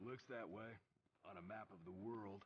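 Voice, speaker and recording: In a put-on character voice, a man speaks at a moderate pace with fairly low pitch and fairly even intonation. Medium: video game. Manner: gruff.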